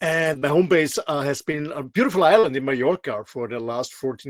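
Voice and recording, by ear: A man speaks in an Austrian accent. His pace is moderate and his pitch varies in an ordinary way.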